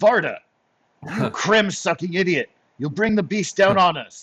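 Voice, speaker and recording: A man puts on a gruff character voice at a high pitch, speaking at a moderate pace with ordinary pitch variation. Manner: angry, scolding.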